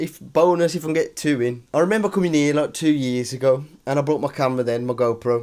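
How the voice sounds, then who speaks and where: A man talks very fast in a strong British accent. His pitch varies in an ordinary way. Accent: strong regional British. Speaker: cycling vlogger. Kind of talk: vlog to camera. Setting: hotel room. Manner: casual, chatty.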